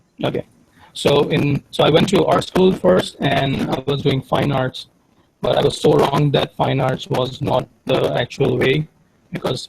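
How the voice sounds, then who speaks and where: In a dry, close sound with no echo, a man with vocal fry and a fairly high pitch talks at a moderate pace with ordinary pitch variation. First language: not English. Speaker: digital artist. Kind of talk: interview. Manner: halting.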